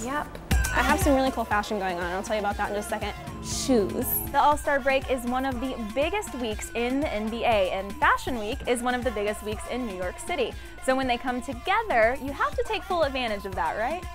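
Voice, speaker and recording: Clear music plays behind a woman with a high voice and lively intonation. She talks at a fairly quick pace, and the sound is dry, with no echo. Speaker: TV host, reporter and in-arena emcee. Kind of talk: TV host and reporter reel, on-camera hosting.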